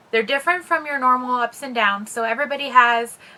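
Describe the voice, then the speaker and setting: Her tone is bright and sharp. The woman keeps her intonation fairly even. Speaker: mental health vlogger. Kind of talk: casual explainer vlog. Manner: fast.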